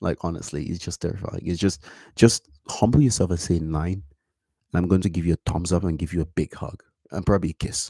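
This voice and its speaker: This man's voice is very deep and low, with a dark, mellow tone. He goes at a fairly quick pace with ordinary pitch variation. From Cameroon. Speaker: vlogger. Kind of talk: casual monologue to camera.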